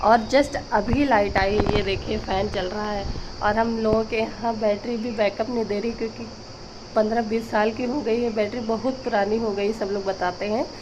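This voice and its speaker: With noticeable background noise and audible room echo, a woman talks at a moderate pace in a fairly high voice, her intonation monotone and flat. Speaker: village vlogger. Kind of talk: casual vlog.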